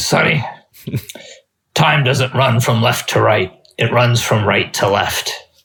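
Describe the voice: Using a put-on character voice, a man speaks gravelly and raspy at a medium pitch and a fairly slow pace.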